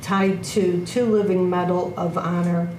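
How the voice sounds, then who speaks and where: Over noticeable background noise and audible room echo, a woman talks at a fairly slow pace with a medium pitch and fairly even intonation. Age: 60s. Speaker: army veteran, bereaved mother. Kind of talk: testimony. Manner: formal.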